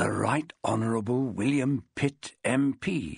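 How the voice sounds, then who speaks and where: Using a put-on character voice, a man talks at a fairly slow pace and medium pitch, with a dry, close sound and no echo. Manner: hushed, reading aloud.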